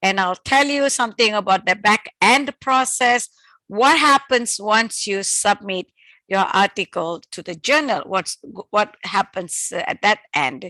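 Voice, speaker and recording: A woman with a fairly high pitch and a bright, sharp tone speaks at a fairly slow pace with lively intonation, in a dry, close sound with no echo. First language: not English (English is third language). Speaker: professor and journal editor. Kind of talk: lecture. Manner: halting, many fillers.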